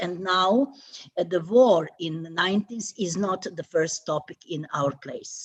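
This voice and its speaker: A woman with a Croatian accent talks at a fairly slow pace, her medium pitch showing ordinary variation. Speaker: theatre institute president. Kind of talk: panel discussion. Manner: halting.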